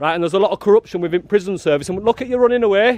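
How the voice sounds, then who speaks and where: A loud, animated man with a northern English accent, high-pitched and very fast, with ordinary pitch variation and a dry, close sound with no echo. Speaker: activist filming outside a prison. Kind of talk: street confrontation interview. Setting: outdoors.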